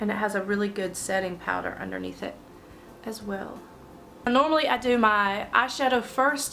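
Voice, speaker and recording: Noticeable background noise behind a woman's fairly high voice. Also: ordinary pitch variation, moderate pace. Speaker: beauty vlogger. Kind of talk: makeup tutorial talk to camera.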